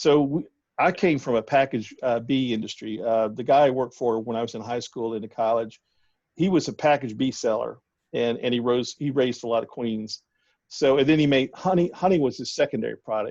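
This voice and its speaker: Speaking with a Southern US accent, a man talks at a fairly quick pace and medium pitch with ordinary pitch variation. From US South. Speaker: bee scientist. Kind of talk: casual interview. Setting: phone call.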